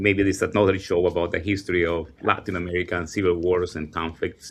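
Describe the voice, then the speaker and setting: Very deep and low, a man's voice rushes at a very fast pace in a Spanish accent. His intonation is monotone and flat over a quiet background. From El Salvador. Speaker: teacher and immigrant advocate. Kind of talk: panel discussion. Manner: halting, many fillers.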